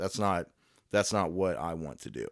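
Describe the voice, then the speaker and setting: In a very clean recording with a silent background, a man speaks with a very deep, low voice and an American accent. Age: 20s. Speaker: podcast host, history student. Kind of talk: casual podcast monologue.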